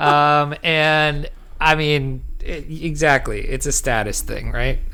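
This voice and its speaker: In a room with audible echo, a loud man with a fairly high pitch and a bright, sharp tone talks at a very slow pace in a monotone, flat delivery. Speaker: podcast co-host. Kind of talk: casual chat.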